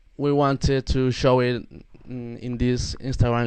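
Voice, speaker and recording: A man speaks with a Spanish accent at medium pitch. His pace is fairly slow and his intonation monotone and flat. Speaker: metal band member. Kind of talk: casual interview. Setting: live video call. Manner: halting.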